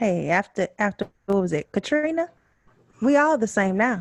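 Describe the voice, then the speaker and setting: A woman with a fairly high pitch and lively intonation at a moderate pace, in a dry, close sound with no echo. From Houston, Texas. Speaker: podcast co-host. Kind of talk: casual chat.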